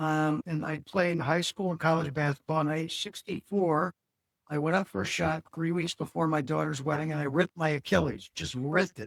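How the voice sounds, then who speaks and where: The speech has an American accent and a fairly quick pace. The sound is dry and close with no echo. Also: man. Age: 60s. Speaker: ADHD coach. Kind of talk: podcast interview. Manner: animated.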